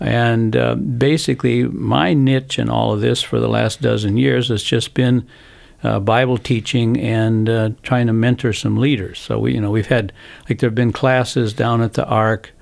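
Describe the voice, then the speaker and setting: Over a quiet background, a man speaks with an American accent at a moderate pace. His loudness stays very even. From United States. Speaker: missionary. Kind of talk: interview. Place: studio. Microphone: studio mic.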